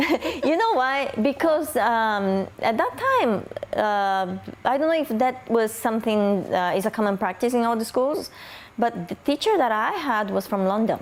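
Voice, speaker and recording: A woman speaks at a fairly high pitch and a moderate pace, her intonation lively and her loudness very even. Noticeable background noise runs behind her. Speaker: hotel executive. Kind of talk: interview.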